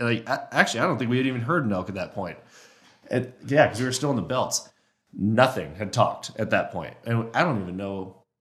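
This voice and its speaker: Room echo can be clearly heard around a man whose speech moves along fairly briskly. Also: medium pitch for a man, ordinary pitch variation. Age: 20s. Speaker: elk hunter and caller. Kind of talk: casual chat. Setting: echoey podcast studio in a warehouse.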